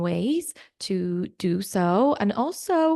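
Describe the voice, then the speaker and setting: Against a quiet background, a woman speaks at a medium pitch with a dark, mellow tone and lively intonation. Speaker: wellness coach. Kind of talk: online masterclass.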